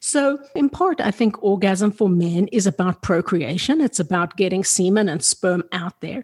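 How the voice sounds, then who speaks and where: A somewhat breathy woman at a moderate pace, very wide pitch swings, dry and close with no echo. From South Africa. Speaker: sex therapist, podcast host. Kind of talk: interview.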